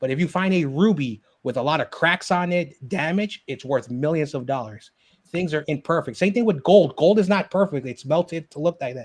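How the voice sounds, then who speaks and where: This man has a plain, everyday voice with a fairly high pitch, lively intonation and a fairly quick pace, recorded with a dry, close sound with no echo against a quiet background. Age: 30s. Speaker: live stream hangout host. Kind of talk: casual chat.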